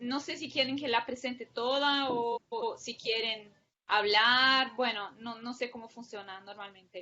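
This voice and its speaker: A woman with a high pitch talks at a fairly slow pace, using ordinary pitch variation. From Brazil. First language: Portuguese (speaking Spanish). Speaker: public policy researcher. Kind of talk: academic lecture.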